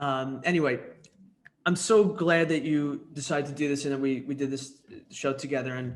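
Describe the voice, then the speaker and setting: In a New York accent, a man speaks at a fairly high pitch with ordinary pitch variation. His pace is moderate, and the room gives an audible echo. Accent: New York area American. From US Northeast, New York suburbs. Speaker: interview show host. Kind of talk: interview.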